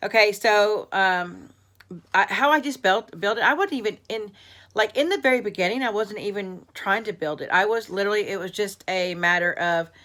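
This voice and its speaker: In a very clean recording with a silent background, a woman with an American accent speaks in a bright, sharp tone with ordinary pitch variation. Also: medium pitch for a woman. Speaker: craft youtuber. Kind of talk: casual vlog. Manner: fast.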